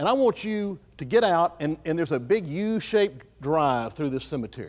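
A man with a Texan accent talks at a fairly quick pace. His high voice carries lively intonation. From Texas, Fayette County. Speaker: guest speaker at a church. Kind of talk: sermon. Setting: church.

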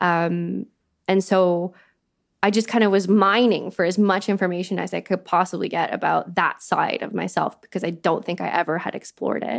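A moderate pace with vocal fry, in a Canadian accent. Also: woman, medium pitch for a woman, fairly even intonation. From Canada. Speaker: arts manager. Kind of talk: casual interview chat. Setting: video call.

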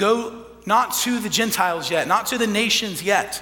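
A man speaks with an American accent. Audible room echo and noticeable background noise fill the recording. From Texas panhandle. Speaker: priest. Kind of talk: sermon.

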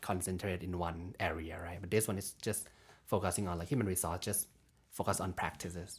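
A man speaks very fast in a fairly low, somewhat breathy voice with a Thai accent. The recording is very clean, with a silent background. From Thailand. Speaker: graduate student. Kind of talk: casual chat.

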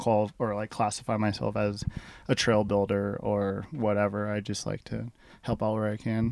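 A man's plain, everyday voice, fairly low in pitch. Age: 30s. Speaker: mountain biker. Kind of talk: casual interview.

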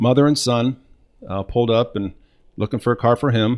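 With a Midwestern American accent, a man speaks at a fairly quick pace and with fairly even intonation. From Northwest Ohio. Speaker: car sales coach. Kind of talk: casual chat.

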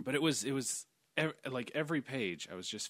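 A man speaks with an American accent and lively intonation. He has an ordinary speaking voice. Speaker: podcast host. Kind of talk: casual chat.

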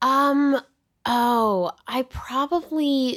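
A woman is speaking. She has a Californian accent. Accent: Californian American. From Los Angeles, US. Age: 20s. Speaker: film actress. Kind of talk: casual chat. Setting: hotel room.

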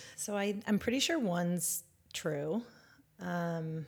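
A woman's fairly low, somewhat breathy voice with a West Coast American accent. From Northern California. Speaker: educator and former school principal. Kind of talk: interview conversation.

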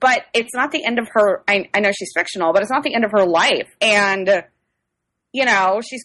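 In an American accent, a woman has an unremarkable speaking voice at fairly high pitch, with ordinary pitch variation and a moderate pace. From US Midwest, outside St. Louis. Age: 30s. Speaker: young adult novelist. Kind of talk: casual chat. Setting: video call.

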